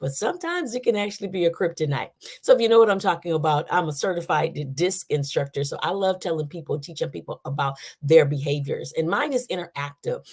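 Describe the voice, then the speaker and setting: Very fast, animated talk from a woman with a fairly low, somewhat breathy voice and lively intonation. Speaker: live show host and leadership trainer. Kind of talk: live stream casual talk.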